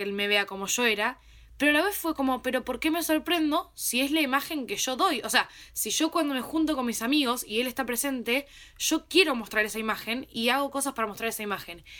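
A woman speaks in a raised, projected voice with a high pitch and a bright, sharp tone. Her delivery is animated, with lively intonation at a fairly quick pace, on a very clean recording with a silent background. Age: 20s. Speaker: podcast host. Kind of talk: casual chat.

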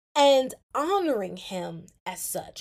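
A woman's excited, warm tone. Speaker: podcast host. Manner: excited, warm, earnest; fervent, animated, urgent, preaching-like tone.

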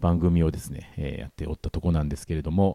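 In a dry, close recording with no echo, a man talks in a very deep, low pitch with a dark, mellow tone. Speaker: radio host. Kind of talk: casual chat. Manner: higher pitch than usual.

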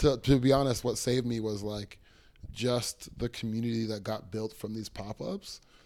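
A man in a Toronto accent, medium-pitched, with a dark, mellow tone, fairly even intonation and a moderate pace. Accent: Canadian English (Toronto). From Toronto, Canada. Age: 20s. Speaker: clothing artist and small business owner. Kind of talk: casual interview chat.

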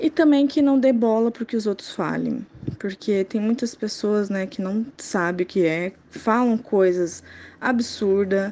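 A woman's plain, everyday voice at a medium pitch, fairly slow, with ordinary pitch variation. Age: 20s. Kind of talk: interview testimony.

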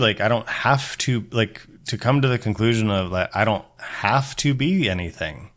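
In a very clean recording with a silent background, a man talks in a normal speaking voice at medium pitch and moderate pace, his intonation lively. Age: 40s. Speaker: former pastor, podcast host. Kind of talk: casual interview chat.

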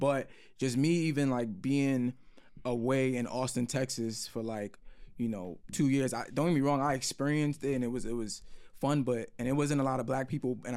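A man with a New York accent speaks at medium pitch and a fairly quick pace. His pitch varies in an ordinary way, and the recording is very clean with a silent background. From New York City, Brooklyn. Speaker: podcast co-host. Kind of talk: casual chat.

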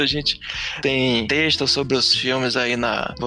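A man talks at a fairly slow pace in a medium pitch. It is a normal speaking voice. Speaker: podcast host. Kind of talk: casual chat.

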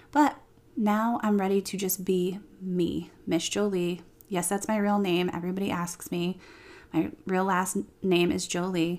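This woman has an ordinary speaking voice at medium pitch, talking at a fairly slow pace with fairly even intonation. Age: 30s. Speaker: podcast host and hair stylist, salon co-owner. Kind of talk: solo podcast monologue. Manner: casual, chatty.

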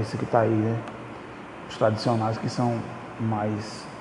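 Against noticeable background noise and audible room echo, a man speaks at a moderate pace with a medium pitch. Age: 20s. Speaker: podcaster. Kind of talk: casual monologue. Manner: halting.

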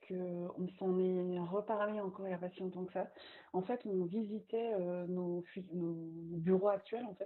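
The voice belongs to a woman and sits at a medium pitch. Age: 30s. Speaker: magazine founder and communication agency owner. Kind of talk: casual interview. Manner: lively.

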